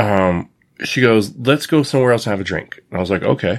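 Speaking with an American accent, a man at medium pitch talks at a very fast pace. The recording is very clean, with a silent background. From United States. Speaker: podcast guest discussing online dating. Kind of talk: casual chat.

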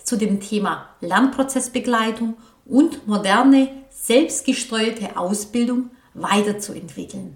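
Over noticeable background noise, a woman talks at a fairly high pitch. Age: 40s. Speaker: vocational training coach. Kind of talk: solo podcast monologue.

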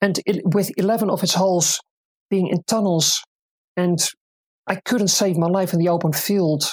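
A woman with a Dutch accent at a medium pitch, very even in loudness and fairly even in intonation, at a moderate pace with long, frequent pauses, in a dry, close sound with no echo. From Netherlands, Utrecht province. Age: 40s. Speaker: disc golf player and volunteer. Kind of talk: interview.

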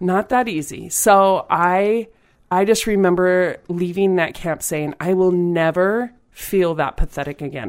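A woman's plain, everyday voice at a medium pitch, fairly slow in pace with ordinary pitch variation, on a very clean recording with a silent background. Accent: American. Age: 40s. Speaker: volleyball player and coach. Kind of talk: interview.

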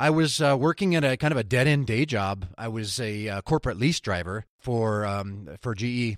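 A man in an ordinary speaking voice talks at medium pitch and a moderate pace with lively intonation and hardly any pauses, in a dry, close sound with no echo on a very clean recording with a silent background. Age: 40s. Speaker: UX designer and podcaster. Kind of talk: casual interview conversation.

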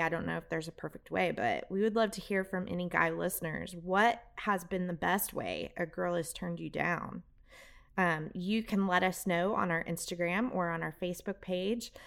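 Heard here is a woman at a moderate pace with a medium pitch. She has an unremarkable speaking voice. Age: 40s. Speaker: podcast host. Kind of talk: casual chat.

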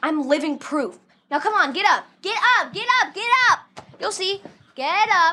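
In a raised, projected voice, a woman talks at a fairly slow pace, her extremely high pitch making very wide pitch swings. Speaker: actress. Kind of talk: press interview. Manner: giggly.

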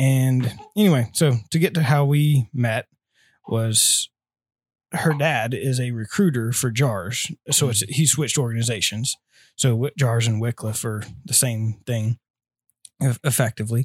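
Somewhat breathy delivery with ordinary pitch variation, a fairly slow pace and long, frequent pauses, in a dry, close sound with no echo on a very clean recording over a silent background. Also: man, medium pitch for a man. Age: 20s. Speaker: missionary aircraft mechanic. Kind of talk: casual interview.

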